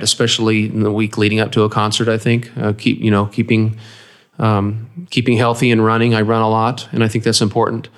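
This voice speaks in a flat monotone with an American accent. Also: man. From US. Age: 50s. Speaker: saxophonist and music professor. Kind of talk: interview. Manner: halting, many fillers and restarts.

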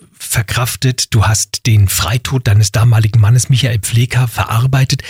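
Here is a plain, everyday voice at a moderate pace with ordinary pitch variation. The sound is dry and close, with no echo. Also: man. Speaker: radio host. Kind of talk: interview.

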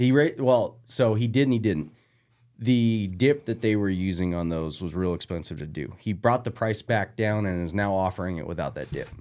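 Against a very clean recording with a silent background, a man with a fairly low pitch and an unremarkable speaking voice talks at a moderate pace with lively intonation. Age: 30s. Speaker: hunter. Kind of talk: casual chat.

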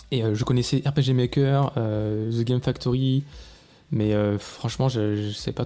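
Recorded very clean against a silent background, a man with a dark, mellow tone speaks at a medium pitch with fairly even intonation. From southern France, Vaucluse near Avignon. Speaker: indie video game developer, podcaster. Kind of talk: solo personal storytelling podcast.

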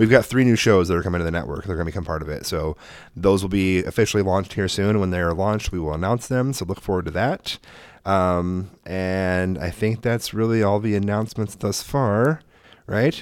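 A man with an American accent and an unremarkable speaking voice talks at a fairly quick pace and a fairly low pitch, with ordinary pitch variation, on a very clean recording with a silent background. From Oregon, US. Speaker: podcast host. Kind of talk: casual chat.

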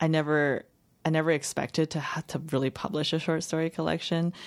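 Speaking at a moderate pace with a Chinese accent, a woman comes through on a very clean recording with a silent background. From Los Angeles County, US, after early childhood in China. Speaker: fiction writer. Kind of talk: interview. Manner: halting.

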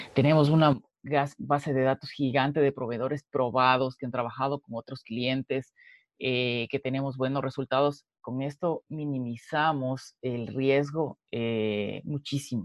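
A man's plain, everyday voice at medium pitch, fairly slow, with fairly even intonation. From Ecuador, Quito. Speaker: entrepreneur. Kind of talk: interview.

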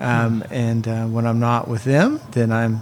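A man talks fairly slowly at a medium pitch, with noticeable background noise behind him. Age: 40s. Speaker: ministry director. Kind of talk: casual chat.

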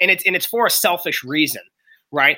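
Over a very clean recording with a silent background, a man with an American accent talks at a fairly quick pace, his bright, sharp voice pitched fairly high with ordinary pitch variation. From Pittsburgh, Pennsylvania. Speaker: former wrestler and performance coach. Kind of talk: interview. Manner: animated.

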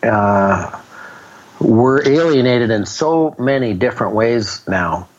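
A man with a medium pitch and lively intonation talks as noticeable background noise carries on. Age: 60s. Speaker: businessman turned humanitarian author and speaker. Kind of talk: interview. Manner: halting, repeats words.

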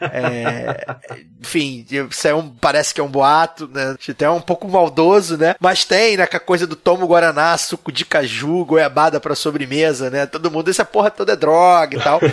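A man with a plain, everyday voice talks at a moderate pace and a fairly high pitch, with ordinary pitch variation. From Rio de Janeiro, Zona Norte suburb. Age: 30s. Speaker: podcast host guest. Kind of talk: casual chat. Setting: studio.

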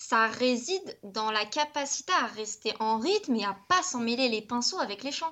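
A woman speaks at a fairly slow pace with hardly any pauses, her high voice marked by lively intonation. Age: 20s. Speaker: youtuber. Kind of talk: casual chat.

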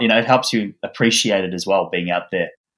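The speaker has an Australian accent and fairly even intonation. The recording is very clean, with a silent background. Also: man. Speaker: author. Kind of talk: interview.

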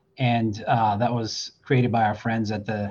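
A somewhat breathy man's voice at a medium pitch, with an American accent. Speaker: deputy fire chief. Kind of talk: panel discussion. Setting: at work, fire station with radio.

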